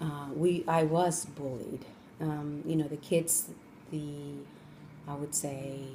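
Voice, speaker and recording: A woman with a Spanish accent speaks very slowly at a very deep, low pitch, flat and monotone, with long, frequent pauses, amid audible room echo and noticeable background noise. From Colombia (Cali), moved to Los Angeles as a child. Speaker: interviewee, parent of the student interviewer. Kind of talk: interview.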